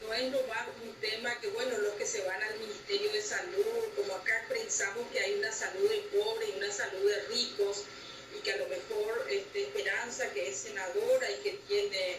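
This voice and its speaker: Here a woman speaks at a moderate pace. The room echo is audible. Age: 60s. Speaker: senator and former health minister. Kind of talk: interview. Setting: video call.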